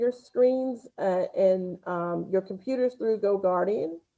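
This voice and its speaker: This woman speaks in a Southern US accent with a dark, mellow tone. Her pitch varies in an ordinary way. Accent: Southern twang. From US South. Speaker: school spelling bee organizer. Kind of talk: event announcements to students. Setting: livestreamed video call.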